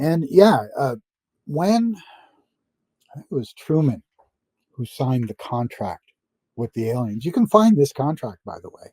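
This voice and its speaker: A man speaks at a fairly slow pace with a fairly high pitch, a dark, mellow tone and a somewhat breathy quality, leaving long, frequent pauses. His pitch swings very widely and his loudness shifts a great deal, captured in a dry, close sound with no echo. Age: 70s. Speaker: interview guest claiming secret space program experience. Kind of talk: interview. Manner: halting, many fillers and repetitions.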